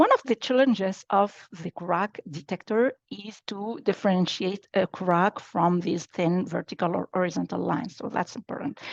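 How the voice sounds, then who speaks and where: A woman speaks at medium pitch and a moderate pace, with lively intonation. The sound is dry and close with no echo, over a quiet background. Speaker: applied AI scientist. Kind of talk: technical workshop presentation. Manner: halting, many fillers.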